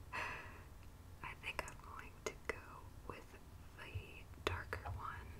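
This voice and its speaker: Loud background noise surrounds a woman as she speaks. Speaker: ASMR creator. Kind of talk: ASMR manicure video, casual talk to camera. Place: home room.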